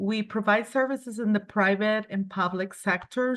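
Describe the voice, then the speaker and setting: Over a quiet background, a woman with a Spanish accent speaks at a medium pitch in a flat monotone. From Colombia. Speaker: cleaning company owner. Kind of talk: business presentation. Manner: halting.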